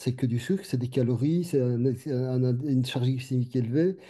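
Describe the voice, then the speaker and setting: This man's somewhat breathy voice has a dark, mellow tone and a medium pitch, with ordinary pitch variation, a moderate pace and a quiet background. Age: 60s. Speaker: doctor. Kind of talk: panel discussion. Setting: webinar video call. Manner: halting, repetitive.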